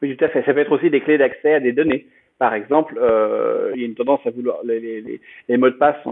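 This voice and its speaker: Talking at a very fast pace yet with long, frequent pauses, a man uses a fairly high pitch and ordinary pitch variation. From France. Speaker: blockchain project founder. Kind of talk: interview. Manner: halting.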